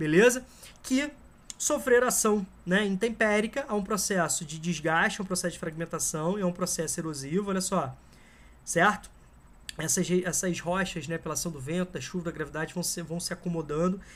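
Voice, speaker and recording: A man speaks at a high pitch in a Brazilian accent. His pace is fairly quick, and his pitch varies in an ordinary way. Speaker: geography teacher. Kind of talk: lecture. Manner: casual, conversational.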